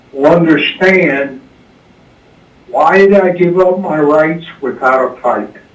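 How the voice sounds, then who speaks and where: Amid noticeable background noise and audible room echo, a man talks very slowly in a fairly high pitch, with long, frequent pauses. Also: ordinary pitch variation. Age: 70s. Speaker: caller, military veteran. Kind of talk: call-in radio talk.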